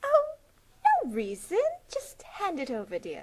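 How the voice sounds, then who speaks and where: A woman performs a cartoonish character voice at a high pitch and a moderate pace. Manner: falsely sweet, then angry.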